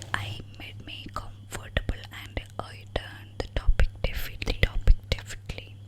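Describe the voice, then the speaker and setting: Over noticeable background noise comes whispering at a fairly slow pace. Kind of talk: ASMR sleep story reading. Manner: whispered, soft.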